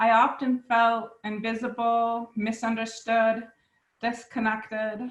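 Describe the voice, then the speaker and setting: Somewhat breathy and fairly high-pitched, a woman speaks at a very slow pace in a monotone, flat intonation. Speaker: hard of hearing specialist, self-advocate. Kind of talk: personal testimony. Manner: careful enunciation.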